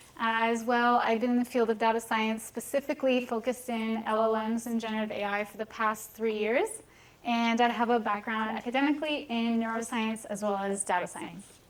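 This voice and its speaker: The speech moves at a fairly quick pace with fairly even intonation, and there is noticeable background noise. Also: woman, fairly high pitch for a woman. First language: Hebrew. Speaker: data scientist, conference speaker. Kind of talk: lecture.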